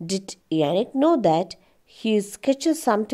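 A natural reading voice carries the recording.

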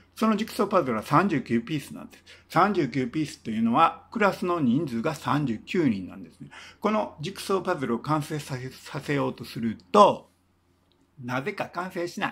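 A man talks at a moderate pace with a fairly high pitch. His pitch swings very widely, and his loudness rises and falls sharply. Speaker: singer-songwriter and former teacher; former teacher. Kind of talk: casual storytelling monologue. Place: home room. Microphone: phone near.

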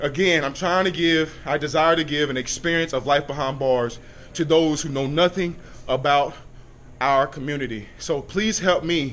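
With ordinary pitch variation, a man talks at a moderate pace. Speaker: vlogger reporting fitness test results. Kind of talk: casual vlog chat. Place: gym. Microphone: phone near.

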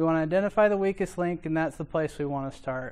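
A man speaks in a high voice with ordinary pitch variation. The background is quiet. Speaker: conference presenter. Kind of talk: lecture. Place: classroom.

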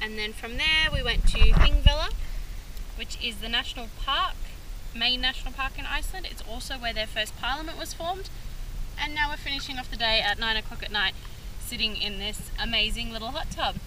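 A woman speaks at a fairly quick pace. The sound is dry with no echo, and background noise is noticeable. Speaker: travel vlogger. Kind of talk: casual vlog chat. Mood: relaxed, cheerful. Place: waterside. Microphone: phone near.

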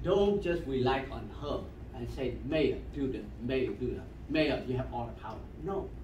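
With audible room echo and light background noise, a man talks at a moderate pace. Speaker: community member. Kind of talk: remarks at community meeting. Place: meeting room. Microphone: camera far.

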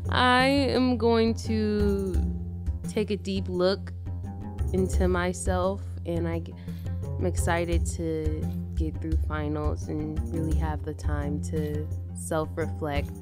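Over clear background music, a woman speaks very slowly with long, frequent pauses and ordinary pitch variation. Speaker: radio show host. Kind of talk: radio host talk and interview intro. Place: studio.

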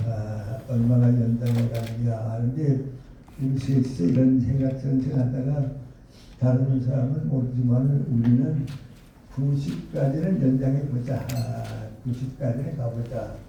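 Against noticeable background noise, a man speaks fairly slowly at a medium pitch with fairly even intonation. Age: 80s+. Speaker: professor, philosopher. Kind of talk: invited lecture.

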